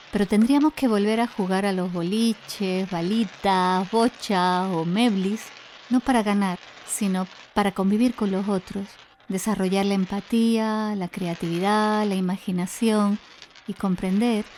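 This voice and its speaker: At a fairly slow pace, a woman speaks in an ordinary speaking voice of medium pitch, with fairly even intonation. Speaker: podcast host. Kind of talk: podcast intro narration.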